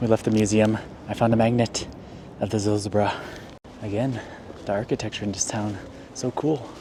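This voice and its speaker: Amid noticeable background noise, a man talks at a fairly low pitch with monotone, flat intonation and long, frequent pauses. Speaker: YouTube reaction vlogger. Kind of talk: travel vlog. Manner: casual.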